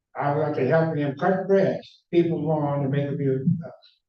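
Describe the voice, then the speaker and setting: There's a man speaking with an American accent at a fairly high pitch. His intonation is fairly even, and the room echo is audible. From US Midwest, Cleveland. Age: 80s+. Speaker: architect. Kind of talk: public talk. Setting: stage with audience. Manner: halting.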